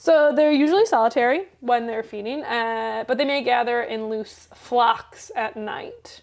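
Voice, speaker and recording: A high-pitched woman at a fairly slow pace, with ordinary pitch variation, hardly any pauses and a quiet background. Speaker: podcast co-host. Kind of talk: casual chat. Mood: relaxed, playful. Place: home room.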